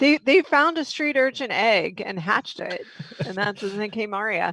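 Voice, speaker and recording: In an American accent, a woman talks at a moderate pace with a fairly high pitch and big swings in loudness. The sound is dry and close, with no echo. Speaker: online entertainment show host. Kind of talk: charity appeal; casual panel chat. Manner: sounds insincere when sincere.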